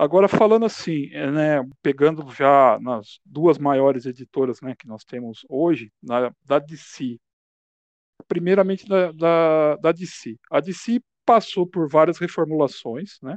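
A man with a fairly high voice talks very slowly, his intonation lively. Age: 40s. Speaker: podcast host. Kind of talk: casual interview chat.

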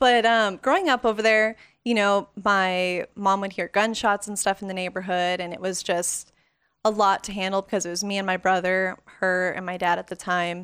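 A woman's ordinary speaking voice with an American accent, medium pitch, fairly even intonation and a moderate pace, on a very clean recording with a silent background. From Las Vegas, Nevada. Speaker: photographer. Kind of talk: casual interview.

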